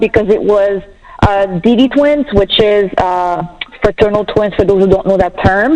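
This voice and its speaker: A woman's medium-pitched voice against noticeable background noise. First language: French. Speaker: bereaved mother sharing her story. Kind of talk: personal testimony on a talk show. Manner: animated.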